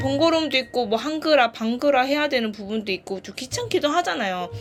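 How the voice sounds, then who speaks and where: With music in the background, the speaker talks in a Gyeongsang accent, using very wide pitch swings. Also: woman. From Gyeongsang region, South Korea. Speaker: e-reader reviewer. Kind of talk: casual product review to camera. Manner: high-energy, may sound irritated.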